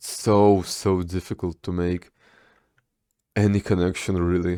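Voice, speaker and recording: In a Russian accent, a man speaks with a very deep, low pitch in a very clean recording with a silent background. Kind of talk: casual talk to camera. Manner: rambling, stammering.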